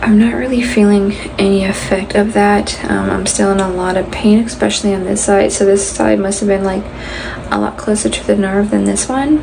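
Noticeable background noise is present. A woman talks through it at a moderate pace. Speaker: vlogger. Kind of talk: casual vlog chat. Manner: slow, drowsy speech with sore, swollen mouth. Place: bathroom. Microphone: phone near.

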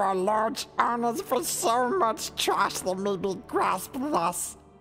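Over clear music in the background, a female-sounding voice speaks at a fairly slow pace with a fairly high pitch. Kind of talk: Shakespearean verse in a creature voice. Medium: audio drama. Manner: accusing, rising to indignant passion.

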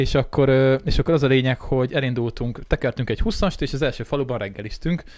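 A man at a very fast pace with ordinary pitch variation, a dry sound with no echo and a quiet background. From Hungary. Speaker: podcast host. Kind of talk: casual chat. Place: studio. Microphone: studio mic.

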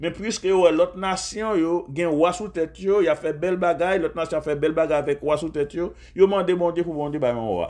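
Barely pausing, a man speaks in a high pitch with ordinary pitch variation. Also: moderate pace. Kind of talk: sermon.

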